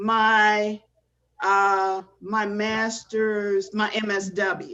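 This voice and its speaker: A woman speaks in a bright, sharp tone. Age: 50s. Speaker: graduate student. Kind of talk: casual chat. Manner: halting.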